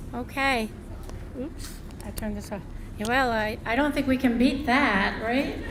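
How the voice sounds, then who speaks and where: A woman with a slight New Jersey accent speaks at a moderate pace in a high voice with fairly even intonation. Long, frequent pauses break it up, and there is noticeable background noise along with audible room echo. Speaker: ceremony emcee. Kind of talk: ceremony announcements.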